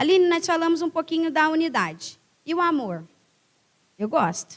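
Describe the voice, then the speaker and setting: A woman speaks loudly at a high pitch, with an animated tone. Her pace is fairly slow and her pitch varies in an ordinary way. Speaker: guest preacher. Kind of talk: sermon.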